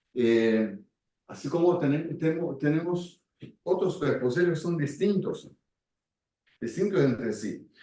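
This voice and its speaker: In a room with audible echo, a man with a fairly high pitch and a dark, mellow tone speaks at a very slow pace with lively intonation and long, frequent pauses. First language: Portuguese (speaking Spanish). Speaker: speaker on Gestalt and community work. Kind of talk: talk with audience. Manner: halting.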